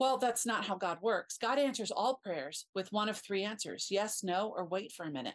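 A woman has an unremarkable speaking voice at a medium pitch with lively intonation. She keeps a moderate pace with hardly any pauses. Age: 50s. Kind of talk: casual chat.

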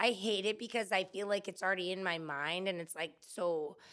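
Speaking at a moderate pace, a woman has an unremarkable speaking voice, fairly low in pitch with ordinary pitch variation. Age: 40s. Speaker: landscaper and floral designer. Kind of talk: casual interview. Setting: studio.

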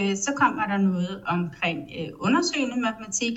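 A woman's voice moves in very wide pitch swings. Noticeable background noise sits behind it. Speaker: publishing editor-in-chief. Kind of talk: interview. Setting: online call.

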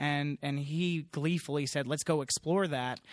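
A man with an ordinary speaking voice, fairly high pitch, a moderate pace and an American accent, on a very clean recording with a silent background. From US Northeast, Long Island, New York. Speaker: TV network executive. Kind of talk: casual chat. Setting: conference venue.

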